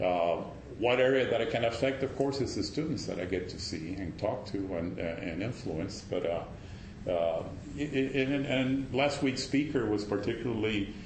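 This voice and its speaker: A man with a Spanish accent speaks at a medium pitch, his intonation lively. The recording has audible room echo and noticeable background noise. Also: moderate pace. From Cuba, Havana. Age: 60s. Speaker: meteorology professor. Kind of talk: personal sharing in group talk. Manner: halting, many fillers and restarts.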